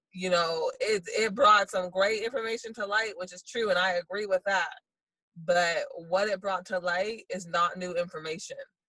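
A woman speaks at a moderate pace in a medium pitch, her bright, sharp tone keeping fairly even intonation amid big swings in loudness. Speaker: panelist, transracial adoptee. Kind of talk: panel discussion.

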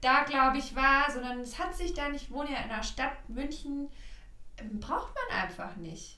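Through audible room echo and noticeable background noise, a woman with a high pitch uses a raised, projected voice at a fairly slow pace with lively intonation. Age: 30s. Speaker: astrologer. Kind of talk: casual chat.

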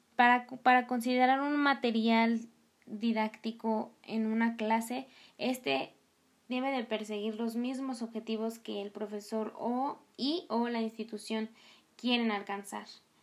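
Delivered at a fairly slow pace, a normal speaking voice carries fairly even intonation. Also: woman, fairly high pitch for a woman. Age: 20s. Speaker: languages student and podcast host. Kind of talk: educational podcast monologue. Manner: chatty with frequent filler sounds.

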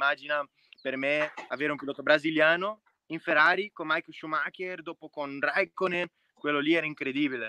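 A man with a Brazilian accent speaks at fairly high pitch in a bright, sharp tone. The sound is dry and close, with no echo. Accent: Brazilian Portuguese-accented Italian. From Brazil, Minas Gerais. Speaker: racing driver. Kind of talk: interview. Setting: video call. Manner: halting.

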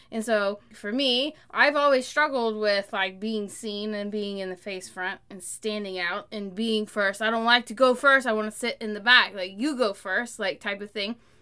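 With an American accent, a woman speaks at a fairly high pitch in a bright, sharp tone. Her intonation stays fairly even while her loudness swings a lot. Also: moderate pace. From central Oklahoma. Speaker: podcast co-host, entrepreneur. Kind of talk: casual chat.

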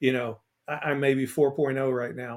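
Here a man speaks with an American accent at a moderate pace. He has a plain, everyday voice with a fairly high pitch. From US South, Port Arthur, Texas. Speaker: author, speaker and former chef. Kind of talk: casual interview.

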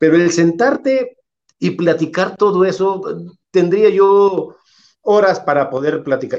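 A man talks with lively intonation. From Mexico, Irapuato (Guanajuato). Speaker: retired football goalkeeper. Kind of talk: interview.

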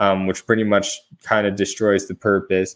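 A man talks with an American accent. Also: very clean recording, silent background. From Arizona. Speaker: sports podcast host. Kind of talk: casual chat.

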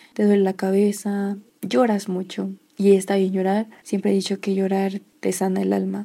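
In a very clean recording with a silent background, a dark, mellow tone delivers monotone, flat intonation at a moderate pace. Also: woman, medium pitch for a woman. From Mexico, Toluca, State of Mexico. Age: 20s. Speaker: podcaster. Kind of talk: personal storytelling monologue.

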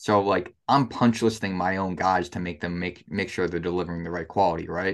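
Against a quiet background, a man talks in a plain, everyday voice at a fairly quick pace with ordinary pitch variation. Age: 20s. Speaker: construction contractor. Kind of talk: interview.

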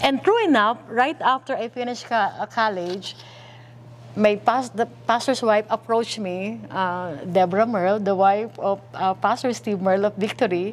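Using a normal speaking voice, a woman talks fairly slowly at a medium pitch with ordinary pitch variation. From Philippines, Manila. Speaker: pastor. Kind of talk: testimony.

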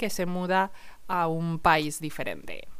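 A woman with a Castilian accent. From Spain, Salamanca. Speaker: Spanish teacher. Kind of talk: podcast monologue for language learners.

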